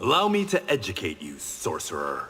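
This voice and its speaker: A man does a put-on character voice. He keeps a moderate pace. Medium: video game. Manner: stern, terse.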